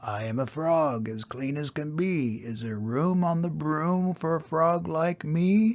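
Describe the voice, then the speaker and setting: A man's croaky, put-on character voice, fairly high in pitch, fairly slow and with hardly any pauses. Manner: polite.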